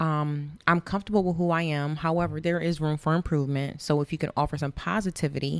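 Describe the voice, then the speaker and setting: On a very clean recording with a silent background, a woman with an American accent talks fairly quickly in a very deep, low voice with fairly even intonation. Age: 30s. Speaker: wine sponsor. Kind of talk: casual chat.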